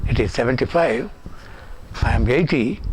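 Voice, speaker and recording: A man is speaking while noticeable noise runs in the background. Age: 80s+. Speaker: public figure giving a tribute. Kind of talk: recorded tribute.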